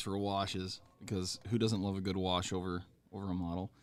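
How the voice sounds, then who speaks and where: A man with a fairly low pitch talks at a moderate pace in a very clean recording with a silent background. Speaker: miniature painting stream host. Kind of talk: casual chat. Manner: halting.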